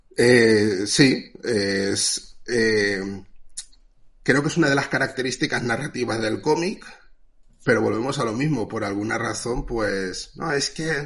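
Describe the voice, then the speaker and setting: With an ordinary speaking voice, a man talks at a fairly slow pace and medium pitch, using ordinary pitch variation. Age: 30s. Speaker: comic artist. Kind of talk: casual chat.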